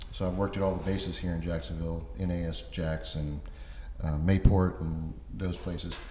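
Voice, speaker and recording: A man with an American accent talks at a fairly quick pace in a very deep, low, somewhat breathy voice with a dark, mellow tone and ordinary pitch variation, and audible room echo surrounds him. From Florida, Orlando (born North Carolina). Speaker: author and construction project manager. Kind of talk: interview.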